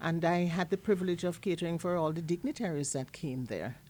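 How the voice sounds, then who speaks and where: This woman speaks with a Jamaican accent. Her pitch is fairly low, with ordinary variation. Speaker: chef and food entrepreneur. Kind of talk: casual interview.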